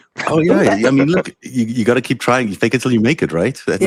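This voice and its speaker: A man at a medium pitch, very fast pace and lively intonation, in a dry, close sound with no echo. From born in Israel, raised in South Africa, lived in Canada and New York. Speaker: live-show host on social media, political commentator; former broadcast executive producer. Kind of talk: casual conversational.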